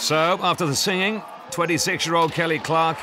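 A man talks at a moderate pace with a fairly high pitch and an energetic, excited tone. Noticeable background noise runs underneath. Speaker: sports commentator. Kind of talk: sports commentary recap, scripted narration. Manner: brisk, energetic, clipped; excited, building to a climax.

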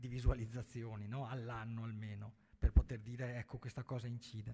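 This man has a dark, mellow tone that is somewhat breathy, and he speaks at a moderate pace. His intonation stays fairly even over a quiet background. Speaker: journalist and writer on Venetian history; journalist. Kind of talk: panel discussion. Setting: stage with audience. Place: hall.

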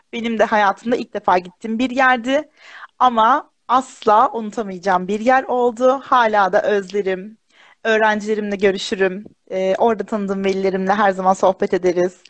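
A woman's fairly high voice at a moderate pace with fairly even intonation, in a dry sound with no echo against a quiet background. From central Anatolia, Kırşehir; Central Anatolia. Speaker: primary school teacher. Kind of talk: casual interview. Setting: live video stream. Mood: warm, smiling, chatty. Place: home room. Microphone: video call.

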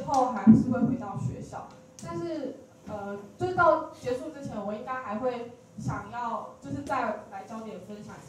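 At a fairly slow pace, a woman with a Taiwanese accent speaks at a fairly high pitch, with big swings in loudness, audible room echo and light background noise. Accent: Taiwanese Mandarin. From Taichung, Taiwan. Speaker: student on leave, storyteller. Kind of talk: personal story sharing talk. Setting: stage with audience. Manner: halting, hesitant. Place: hall.

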